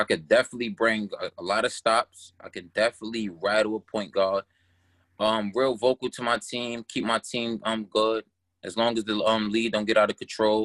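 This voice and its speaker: With a New York accent, a man speaks at a moderate pace and medium pitch in a monotone, flat intonation, the very clean recording dry and close with no echo and a silent background. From Brooklyn, New York (Canarsie). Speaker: esports gamer. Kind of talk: casual interview. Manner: hesitant, many fillers.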